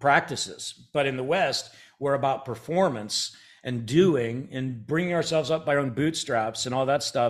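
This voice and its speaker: A man talks at a moderate pace with an American accent. His is a plain, everyday voice, fairly high in pitch. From Ohio, US Midwest. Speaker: church planting organization president. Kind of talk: podcast interview.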